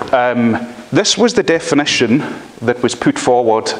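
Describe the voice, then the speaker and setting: Over noticeable background noise, a man with a strong Scottish accent speaks at a fairly slow pace. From Scotland. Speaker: law lecturer. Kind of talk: lecture. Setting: university library, live stream.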